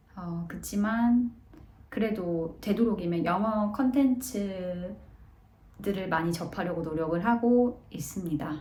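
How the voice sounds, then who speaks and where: A woman speaks very slowly at a medium pitch with ordinary pitch variation, with audible room echo and noticeable background noise. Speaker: vlogger, office worker abroad. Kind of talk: casual vlog talk. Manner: hesitant, many fillers.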